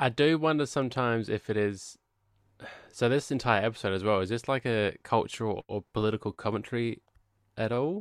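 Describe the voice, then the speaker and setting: Captured in a very clean, dry, close recording with a silent background and no echo, a man with an unremarkable speaking voice talks fairly quickly at a medium pitch with ordinary pitch variation. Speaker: podcast co-host. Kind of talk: casual chat.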